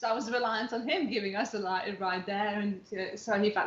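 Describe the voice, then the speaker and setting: A woman's medium-pitched voice at a moderate pace, ordinary pitch variation, noticeable background noise. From outside England. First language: not English. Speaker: dance teacher. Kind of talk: casual interview chat.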